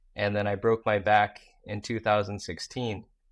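On a very clean recording with a silent background, a man speaks at a fairly slow pace with a fairly low pitch. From US Midwest (Iowa), born in South Korea. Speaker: social media marketing entrepreneur. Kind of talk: interview. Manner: casual, filler-heavy.

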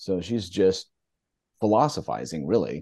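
This man's voice is very deep and low in pitch. His tone is dark and mellow, with vocal fry. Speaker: book club member. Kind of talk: online group discussion.

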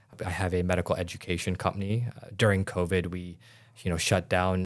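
Very deep and low, a man's voice with an American accent moves at a fairly quick pace in monotone, flat intonation, on a very clean recording with a silent background. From Illinois, US Midwest. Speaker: doctor and aesthetics businessman. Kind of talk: interview.

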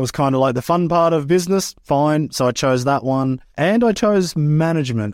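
Lively intonation from a man with an Australian accent, fairly high in pitch, at a moderate pace on a very clean recording with a silent background. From Australia, rural Queensland. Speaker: freestyle motocross rider and event manager. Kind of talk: interview.

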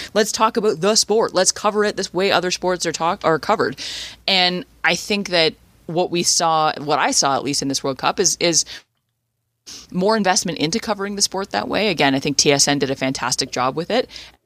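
At a fairly quick pace, a woman with a Canadian accent and an unremarkable speaking voice talks at a fairly low pitch with lively intonation, in a dry, close sound with no echo on a very clean recording with a silent background. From Canada. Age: 30s. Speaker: sports radio host. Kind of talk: casual chat.

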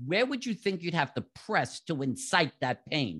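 A man with a New York accent, high-pitched, very wide pitch swings, moderate pace, quiet background. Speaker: physical therapist and author. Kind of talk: interview. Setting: remote call.

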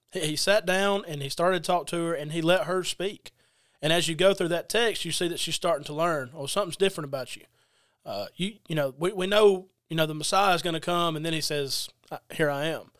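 A man's high voice with a Southern US accent, ordinary pitch variation and a fairly quick pace, in a very clean recording with a silent background. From US South, Georgia (Adairsville). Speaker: preacher. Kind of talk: casual religious discussion.

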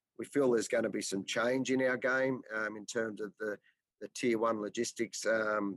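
In an Australian accent, a man speaks at a moderate pace with monotone, flat intonation, the sound dry and close with no echo. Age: 40s. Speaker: business owner. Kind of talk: interview. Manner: halting.

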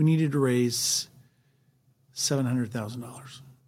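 At a moderate pace, a man talks in a normal speaking voice with ordinary pitch variation. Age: 60s. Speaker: real estate investor. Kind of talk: interview.

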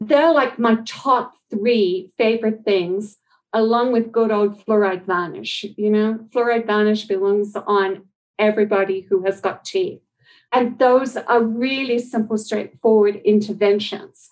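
In an Australian accent, a woman speaks at a fairly slow pace with a fairly high pitch, fairly even intonation and very even loudness. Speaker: dental public health expert. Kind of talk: interview.

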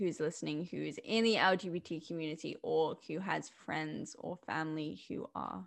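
The woman's pitch moves in an ordinary way, and the background is quiet. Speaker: podcast co-host. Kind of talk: interview. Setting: video call. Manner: hesitant, many fillers.

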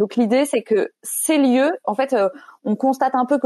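Recorded dry and close with no echo, a woman with a dark, mellow tone talks at a fairly slow pace. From France. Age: 30s. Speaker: evangelization organization director. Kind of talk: panel discussion. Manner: hesitant, many fillers.

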